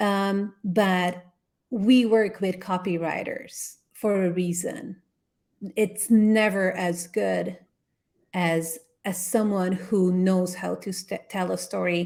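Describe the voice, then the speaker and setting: Very slowly, a woman speaks at a medium pitch in a non-native accent with fairly even intonation. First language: not English. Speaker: brand consultant. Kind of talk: workshop Q&A answers.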